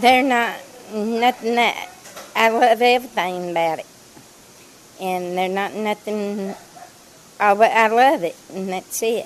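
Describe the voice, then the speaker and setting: The speech moves at a very slow pace with long, frequent pauses and big swings in loudness. Noticeable background noise is present throughout. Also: woman. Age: 60s. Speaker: restaurant worker. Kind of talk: interview. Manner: halting.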